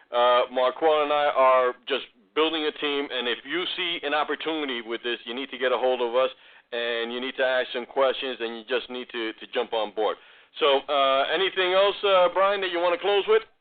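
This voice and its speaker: This man speaks with a New York accent at a moderate pace and a medium pitch. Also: ordinary pitch variation. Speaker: online marketing host. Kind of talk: sales pitch.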